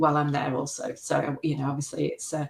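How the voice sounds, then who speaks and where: At a fairly quick pace, a woman speaks with a slight English Midlands accent. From English Midlands, Worksop, Nottinghamshire. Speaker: macro photographer. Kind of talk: interview.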